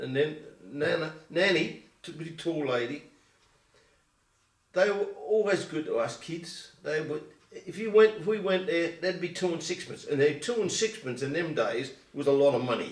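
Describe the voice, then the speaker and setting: A man with an Essex accent and a high pitch, at a moderate pace with ordinary pitch variation. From England, Colchester, Essex. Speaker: oral history interviewee. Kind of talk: oral history interview. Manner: halting.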